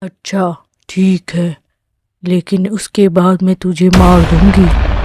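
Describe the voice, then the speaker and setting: This cartoonish character voice sits at a middle pitch and moves at a very slow pace. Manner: menacing.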